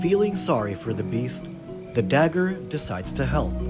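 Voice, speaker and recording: A man speaks with music playing in the background. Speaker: narrator. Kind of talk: folktale narration.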